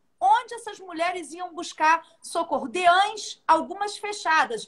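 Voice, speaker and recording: A woman in a Rio de Janeiro accent, her pitch extremely high and her tone bright and sharp, at a fairly slow pace with ordinary pitch variation. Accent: carioca. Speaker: judge. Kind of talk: live online interview.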